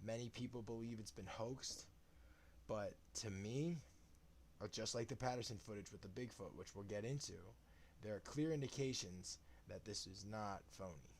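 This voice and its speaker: A man with a fairly low pitch speaks quietly, his voice somewhat breathy. His intonation is lively, broken by long, frequent pauses. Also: moderate pace. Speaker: live streamer on conspiracy and paranormal topics. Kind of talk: casual live stream monologue. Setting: live stream at home. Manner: quiet, subdued.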